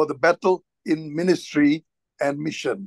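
Over a quiet background, a man speaks at a fairly slow pace. The sound is dry, with no echo. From Singapore. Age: 60s. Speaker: church minister. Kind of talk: sermon. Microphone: video call.

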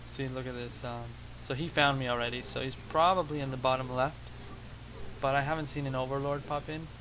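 Set against noticeable background noise and audible room echo, a man talks at a fairly quick pace. His pitch is medium and his intonation monotone and flat. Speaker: gaming video creator. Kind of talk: gameplay commentary. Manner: hesitant with many fillers. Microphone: cheap microphone with noise.

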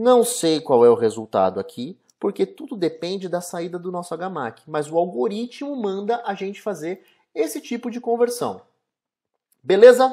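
A man with a high pitch and a dark, mellow tone speaks at a fairly slow pace, with very wide pitch swings and big swings in loudness. The background is quiet. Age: 20s. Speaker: software developer; presenter. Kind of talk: tutorial. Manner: casual. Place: home room. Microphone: webcam.

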